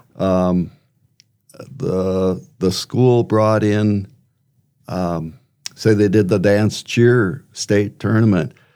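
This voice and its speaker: With an Upper Midwest accent, a man speaks very slowly in a dark, mellow tone at a fairly low pitch, using ordinary pitch variation and long, frequent pauses. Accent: Upper Midwest American. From Wisconsin, rural farm. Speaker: retired teacher, local resident. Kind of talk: casual interview. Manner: halting, many fillers.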